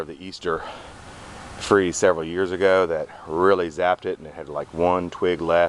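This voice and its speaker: A man with a very deep, low voice speaks at a moderate pace in a monotone, flat delivery, with dry sound that has no echo and light background noise. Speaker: landscaper. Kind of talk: casual garden walkthrough video; casual garden walkthrough commentary. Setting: outdoors in backyard garden. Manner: stutters at times; halting with fillers. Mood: relaxed, matter-of-fact. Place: garden. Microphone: phone near.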